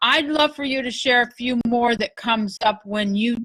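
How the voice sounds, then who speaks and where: A woman speaks in an unremarkable speaking voice with ordinary pitch variation. Her moderate pace comes through in a dry, close sound with no echo. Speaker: love coach leading a workshop. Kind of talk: online workshop talk. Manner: casual, with many fillers.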